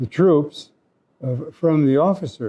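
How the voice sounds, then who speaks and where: At a very slow pace, a man with an American accent speaks at a fairly high pitch with ordinary pitch variation. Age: 70s. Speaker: war veteran. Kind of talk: interview.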